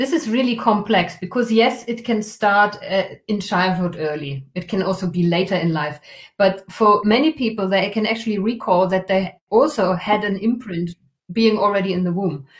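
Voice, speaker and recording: A woman's medium-pitched, somewhat breathy voice at a moderate pace with ordinary pitch variation. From Germany. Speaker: trauma healing workshop facilitator. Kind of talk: live stream interview.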